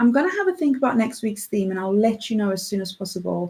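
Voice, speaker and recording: In a South African accent, a woman speaks with lively intonation. Her voice is fairly high and somewhat breathy. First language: Afrikaans. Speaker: radio host. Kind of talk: radio show. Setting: radio studio. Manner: casual, chatty.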